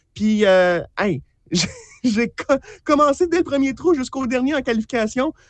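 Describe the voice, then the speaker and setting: A man talks at a moderate pace. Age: 30s. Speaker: mini-golf player. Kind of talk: radio interview. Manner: halting with many fillers.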